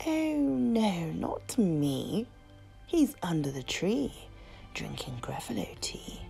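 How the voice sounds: Using a put-on character voice, a woman speaks slowly at a fairly low pitch with big pitch swings and vocal fry. Her tone is dark and mellow, with faint music in the background.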